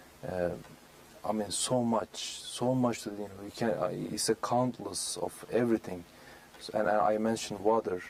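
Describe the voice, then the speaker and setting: A man's fairly low-pitched voice in a Turkish accent, at a moderate pace with fairly even intonation. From Turkey, Istanbul. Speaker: speaker on Islam, guest on local TV show. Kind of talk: interview. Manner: halting, many fillers.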